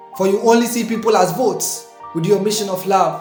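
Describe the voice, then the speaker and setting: Someone talks at a moderate pace as music runs in the background. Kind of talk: spoken word poetry performance.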